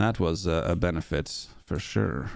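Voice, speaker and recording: Speaking with an American accent, a man talks at a very slow pace. His voice has vocal fry. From US West Coast and London. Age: 20s. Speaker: gaming streamer. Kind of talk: casual live-stream chat. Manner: casual, chatty.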